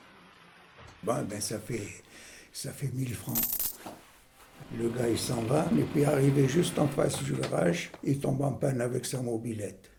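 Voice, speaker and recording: Over noticeable background noise and audible room echo, a man at medium pitch talks fairly slowly with lively intonation and long, frequent pauses. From Algeria. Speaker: senior interviewee. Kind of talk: personal anecdote.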